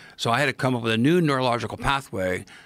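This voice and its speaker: Talking very fast with a Midwestern US accent, a man has a bright, sharp tone and ordinary pitch variation. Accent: US Midwest. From Ohio, US Midwest. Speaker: podcast guest, mycology expert. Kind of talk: casual interview storytelling. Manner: animated.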